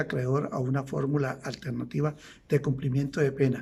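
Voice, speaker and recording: Vocal fry runs through this man's voice. He speaks fairly slowly at a fairly high pitch. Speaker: law lecturer. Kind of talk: lecture.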